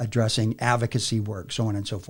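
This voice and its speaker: On a very clean recording with a silent background, a man at a medium pitch talks at a fairly quick pace, somewhat breathy. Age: 60s. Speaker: army veteran and business facilitator. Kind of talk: podcast interview. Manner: frequent fillers, casual.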